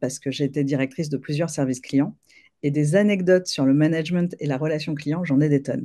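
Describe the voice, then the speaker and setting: A woman's very deep, low voice with a dark, mellow tone, ordinary pitch variation and a moderate pace. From France, Paris. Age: 40s. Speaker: leadership coach. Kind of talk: interview conversation.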